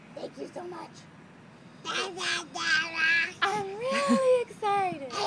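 In a put-on character voice with extremely high pitch, the speaker goes at a very slow pace. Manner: big and loud.

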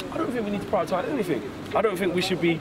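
The intonation is lively, and noticeable background noise sits under the voice. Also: man. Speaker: football fan pundit. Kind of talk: post-match fan interview. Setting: outside stadium after match. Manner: animated.

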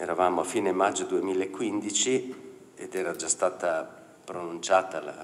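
With a very deep, low pitch and ordinary pitch variation, a man speaks at a fairly slow pace. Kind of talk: lecture. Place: hall. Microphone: podium.

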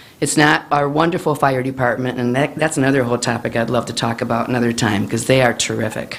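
Through noticeable background noise, a woman with an American accent speaks at a fairly quick pace in a very deep, low pitch, with ordinary pitch variation. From Illinois, Manteno. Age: 70s. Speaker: resident public commenter. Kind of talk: public comment at council meeting. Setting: village board meeting.

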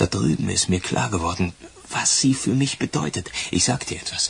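Putting on a character voice, a man with a fairly low pitch, vocal fry and a husky, rough edge speaks at a moderate pace with lively intonation.

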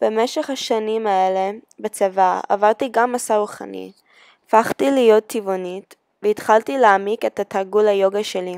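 In a very clean recording with a silent background, a woman talks at a fairly slow pace. She has an American accent, and the sound is dry and close with no echo. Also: medium pitch for a woman, ordinary pitch variation. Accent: American accent in Hebrew. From USA. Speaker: beauty pageant contestant. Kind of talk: scripted personal video.

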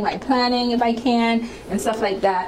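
A woman speaks at a fairly slow pace. There is noticeable background noise. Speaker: beauty vlogger. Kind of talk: casual vlog chat. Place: home room. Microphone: lapel.

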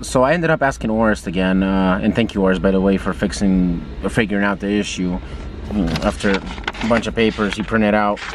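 This man has a fairly low pitch. There is noticeable background noise, and the sound is dry with no echo. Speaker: car owner vlogger. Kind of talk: casual vlog chat. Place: car. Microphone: phone near.

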